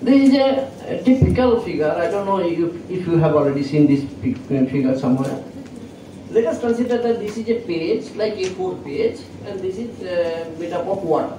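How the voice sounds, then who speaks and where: Very wide pitch swings at a moderate pace, with audible room echo and noticeable background noise. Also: man, high pitch for a man. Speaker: professor. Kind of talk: lecture. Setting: lecture hall with students. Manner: halting.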